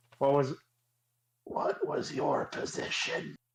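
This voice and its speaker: A man's raspy, put-on character voice. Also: fairly slow pace. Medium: actual play. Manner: menacing, unsettlingly gentle.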